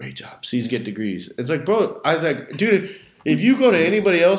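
A very fast man's voice with an American accent and very wide pitch swings. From Southern California, Redlands. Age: 20s. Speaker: high school coach and teacher. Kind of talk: casual chat.

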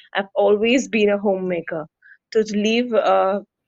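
A woman speaks with an Indian accent at a medium pitch. Her intonation is fairly even and her pace moderate. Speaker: yoga instructor. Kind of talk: interview. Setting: video call.

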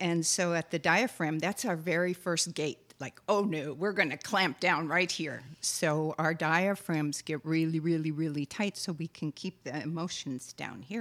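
A woman with an American accent has an unremarkable speaking voice, fairly low in pitch with ordinary pitch variation and big swings in loudness. She talks at a fairly slow pace with hardly any pauses, on a very clean recording with a silent background. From Wisconsin. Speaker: guided relaxation teacher. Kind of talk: guided meditation and calm conversation.

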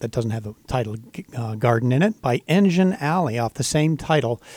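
A man at medium pitch talks in an ordinary speaking voice, with a dry, close sound with no echo. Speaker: radio host. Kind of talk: radio station announcer. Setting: radio studio. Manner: upbeat, clear, rehearsed station-ID delivery.

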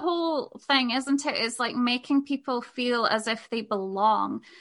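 A woman with a Scottish accent speaks at a fairly slow pace. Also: hardly any pauses. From Scotland. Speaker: podcaster and sex work business mentor. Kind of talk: casual interview chat.

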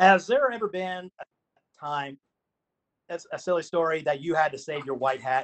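Speaking in an ordinary speaking voice, a man at a moderate pace sounds fairly high, his pitch varying normally and his loudness swinging widely. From Pennsylvania. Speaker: magazine staff, football official. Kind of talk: Q&A on a group call.

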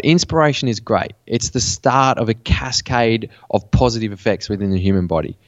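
A man with an Australian accent speaks at a moderate pace, his medium pitch showing ordinary variation. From Western New South Wales, Australia. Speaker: mental performance coach. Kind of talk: interview.

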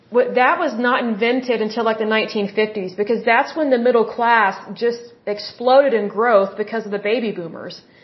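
A woman's fairly high voice at a moderate pace, fairly even in intonation with hardly any pauses, over noticeable background noise. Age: 30s. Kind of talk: religious monologue.

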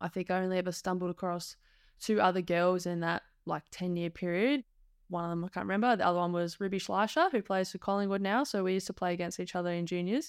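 A woman's medium-pitched voice in an Australian accent, very fast, with fairly even intonation on a very clean recording with a silent background. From Perth, Western Australia. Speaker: former professional footballer. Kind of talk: casual interview chat.

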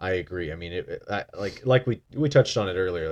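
Over a quiet background, a man has an unremarkable speaking voice. He talks at a fairly quick pace with lively intonation. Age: 20s. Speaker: podcast co-host. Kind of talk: casual chat. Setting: studio.

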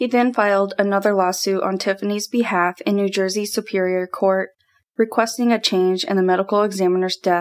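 A woman's normal speaking voice at medium pitch, moderate in pace, with fairly even intonation. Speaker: true crime podcast host. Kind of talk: true-crime narration. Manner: solemn, measured, ominous storytelling; formal, scripted, steady.

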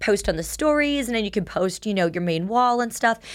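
Lively in intonation and fairly high in pitch, a woman speaks at a moderate pace in a plain, everyday voice, on a very clean recording with a silent background. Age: 30s. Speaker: adult film performer. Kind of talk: casual chat. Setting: studio.

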